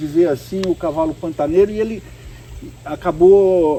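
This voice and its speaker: A man talks with very wide pitch swings. Noticeable background noise sits behind him. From Pantanal region, Mato Grosso, Brazil. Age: 40s. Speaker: equestrian magazine TV interviewer. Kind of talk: interview.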